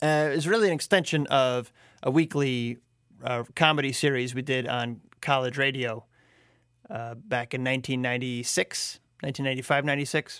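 A man talks in an unremarkable speaking voice at a medium pitch and a fairly slow pace. Pitch variation is ordinary, on a very clean recording with a silent background. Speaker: podcast host. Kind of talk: casual intro monologue. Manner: relaxed, chatty.

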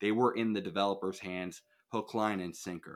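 In a very clean recording with a silent background, a man speaks with an American accent. He has an unremarkable speaking voice, fairly low in pitch, with fairly even intonation. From New York. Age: 20s. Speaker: political activist and online show host. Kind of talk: podcast interview.

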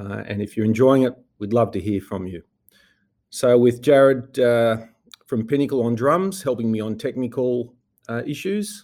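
With long, frequent pauses, a man speaks at a moderate pace and medium pitch in a dark, mellow tone with ordinary pitch variation. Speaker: investment executive and podcast host. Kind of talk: podcast introduction. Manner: halting, many fillers; dry.

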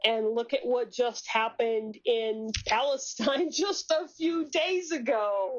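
Very slow and high-pitched, a woman's voice carries ordinary pitch variation. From Hawaii. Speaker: climate activist. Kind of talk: casual chat.

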